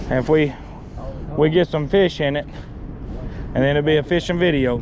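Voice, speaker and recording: Noticeable background noise sits behind a man speaking at a moderate pace. His pitch is fairly high and his intonation fairly even. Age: 30s. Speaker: fishing video host. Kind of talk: casual vlog commentary. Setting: outdoors on a boat. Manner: casual, repetitive.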